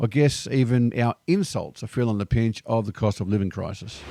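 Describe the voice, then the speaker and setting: Someone with an Australian accent speaks at a fairly quick pace in a very clean recording with a silent background and a dry, close sound with no echo. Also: man. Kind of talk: casual talk to camera. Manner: upbeat, cheeky.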